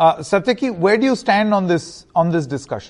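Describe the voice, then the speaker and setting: Lively in intonation, a man with an Indian accent speaks over a quiet background. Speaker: TV debate host. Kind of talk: news debate moderation, formal. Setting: studio.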